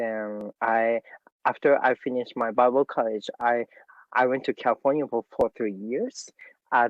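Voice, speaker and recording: With a Japanese accent, a man speaks with ordinary pitch variation. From Japan, Tokyo. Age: 30s. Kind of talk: interview. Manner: halting.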